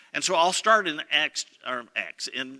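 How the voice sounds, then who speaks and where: High-pitched with a bright, sharp tone, a man speaks with ordinary pitch variation in a dry, close sound with no echo. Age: 60s. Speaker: pastor. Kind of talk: sermon.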